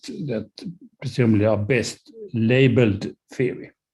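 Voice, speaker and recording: A man speaks with a Swedish accent at a fairly slow pace. His voice is somewhat breathy, with ordinary pitch variation. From Sweden. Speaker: professor. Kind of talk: lecture. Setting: video call. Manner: halting, many fillers.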